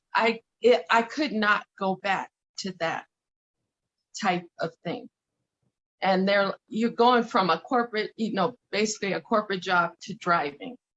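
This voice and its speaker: This woman talks at a fairly slow pace with long, frequent pauses and an American accent. Her pitch sits in the medium range and varies in an ordinary way. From Denver, Colorado, US. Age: 50s. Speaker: courier and aspiring actress. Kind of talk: casual interview conversation. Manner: halting with repetitions.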